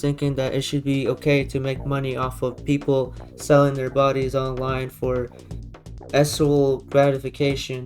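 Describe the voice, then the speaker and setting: The speaker goes at a moderate pace. Noticeable background noise runs underneath. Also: man. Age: 20s. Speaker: YouTube commentator. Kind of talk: reaction commentary.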